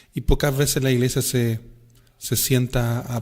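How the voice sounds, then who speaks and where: At a fairly slow pace, a man talks in a monotone, flat intonation. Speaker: podcast host, interviewer. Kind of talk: interview question.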